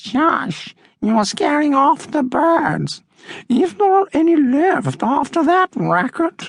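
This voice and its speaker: In a put-on character voice, the speaker uses a high pitch and a very slow pace. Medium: read story. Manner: languid, drawling.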